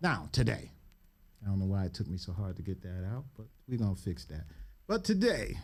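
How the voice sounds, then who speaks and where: A man with an American accent speaks fairly quickly in a fairly low, somewhat breathy voice. His tone is animated and his intonation lively, with long, frequent pauses. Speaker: podcast host and political consultant. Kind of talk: podcast interview. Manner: stumbling.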